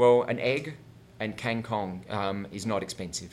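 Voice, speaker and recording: A man talks in an ordinary speaking voice at medium pitch. He goes at a fairly slow pace with ordinary pitch variation. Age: 40s. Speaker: health and wellness coach. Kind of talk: interview. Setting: host's home.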